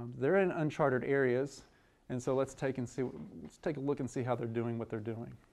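The speaker is a man with a medium pitch and ordinary pitch variation. He talks at a fairly quick pace. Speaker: biology professor and department chair. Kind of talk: lecture. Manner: fast.

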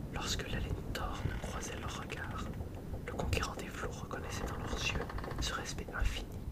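A fairly slow whisper amid noticeable background noise. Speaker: author reading own novel. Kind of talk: read-aloud novel chapter. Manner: whispered.

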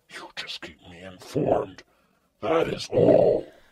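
Growling and raspy, a man speaks at a fairly slow pace in a menacing tone. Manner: cold, domineering, menacing.

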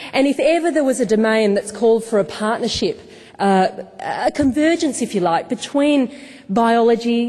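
In an Australian accent, a woman speaks with lively intonation at a moderate pace. The background is quiet. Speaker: event host and moderator. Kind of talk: formal event introduction. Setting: stage with live audience. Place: hall. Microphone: podium.

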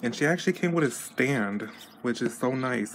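A medium-pitched man with an American accent at a moderate pace, against noticeable background noise. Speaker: doll collector vlogger. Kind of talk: unboxing vlog. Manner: casual, hesitant with fillers.

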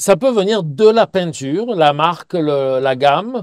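Very slowly and with lively intonation, a man speaks in a dry, close sound with no echo. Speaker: painting teacher. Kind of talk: Q&A tutorial. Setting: outdoors by a river. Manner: loud; hesitant, many fillers.

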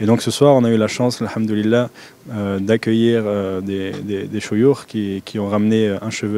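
Fairly low-pitched and fairly quick, a man with a French accent talks with fairly even intonation in a dry sound with no echo. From France. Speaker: convert and follower of a Sufi order. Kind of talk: interview answer, casual. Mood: calm, devout. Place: hall. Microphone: handheld.

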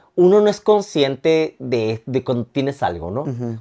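A man with a dark, mellow tone speaks at a moderate pace with very wide pitch swings. The background is quiet. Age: 30s. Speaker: nightclub entertainer with ichthyosis; podcast guest. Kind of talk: casual chat; interview answer. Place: home room. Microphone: lapel.

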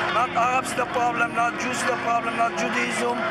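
Loud background noise surrounds the recording. A man speaks at a moderate pace. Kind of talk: interview answer. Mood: earnest, insistent. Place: street. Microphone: phone near.

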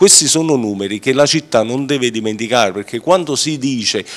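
Lively in intonation, a man speaks at a fairly quick pace. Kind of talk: interview answer. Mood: assertive, defending record. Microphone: handheld.

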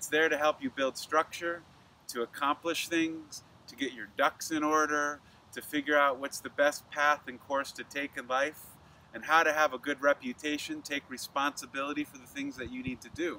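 A man speaks at a moderate pace in a bright, sharp tone, with monotone, flat intonation and big swings in loudness. The sound is dry with no echo, over light background noise. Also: fairly high pitch for a man. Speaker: astrologer and yoga teacher; presenter. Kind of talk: astrology report monologue. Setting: filmed video. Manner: occasionally stumbles over words. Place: garden.

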